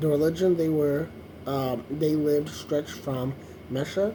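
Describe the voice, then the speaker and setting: A man's fairly even intonation over noticeable background noise. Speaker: YouTuber reading the Bible aloud. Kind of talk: reading aloud with commentary. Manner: slow, hesitant reading; casual asides.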